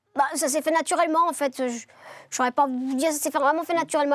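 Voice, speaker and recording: Recorded very cleanly with a silent background and a dry, close sound with no echo, a woman talks at a fairly quick pace with fairly even intonation. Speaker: singer. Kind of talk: interview.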